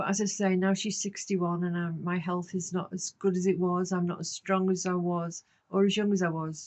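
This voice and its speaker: Hardly pausing, a woman talks at a fairly quick pace in a monotone, flat intonation. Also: medium pitch for a woman. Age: 70s. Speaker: vlogger on life in old age. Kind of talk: casual monologue to camera. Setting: garden shed. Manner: conversational, with hesitations.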